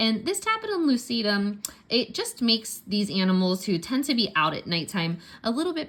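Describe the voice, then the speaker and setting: With a Pittsburgh accent, a woman speaks at a moderate pace on a very clean recording with a silent background. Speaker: science teacher. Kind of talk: tutorial. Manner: casual, conversational.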